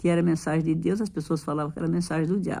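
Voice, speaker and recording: This woman's voice has a dark, mellow tone, a fairly low pitch and fairly even intonation. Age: 70s. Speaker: retired civil servant vlogger. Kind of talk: late-night personal vent to viewers. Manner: halting, repetitive.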